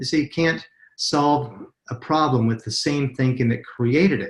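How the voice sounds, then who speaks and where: Lively intonation marks this man's somewhat breathy delivery, given at a moderate pace with an American accent. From US, Utah. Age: 50s. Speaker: network marketing presenter. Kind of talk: webinar sales presentation. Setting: webinar call.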